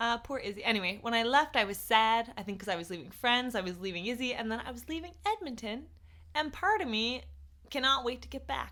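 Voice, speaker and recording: Loud and animated, a woman speaks at a fairly quick pace in a bright, sharp tone with a fairly high pitch. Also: lively intonation. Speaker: podcast co-host. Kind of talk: casual chat. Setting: home studio, in person. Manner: animated, prone to getting loud.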